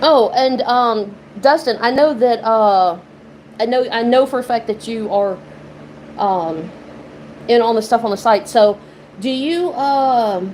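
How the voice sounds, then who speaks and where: A woman with a fairly high pitch and a slight Southern US accent talks at a fairly slow pace with ordinary pitch variation and long, frequent pauses. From Mississippi, US South. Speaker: lottery YouTuber. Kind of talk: casual live-stream chat. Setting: live stream. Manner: casual, filler-heavy.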